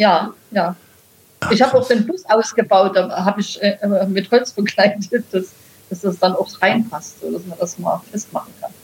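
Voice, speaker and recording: This woman has an ordinary speaking voice at medium pitch, moving at a moderate pace with ordinary pitch variation and big swings in loudness. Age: 60s. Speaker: e-bike touring video creator. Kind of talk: casual interview.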